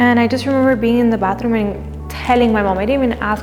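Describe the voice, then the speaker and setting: A woman with an American accent at a fairly quick pace, audible room echo and music in the background. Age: 20s. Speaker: lash business owner. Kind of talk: documentary interview. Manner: casual, filler-heavy.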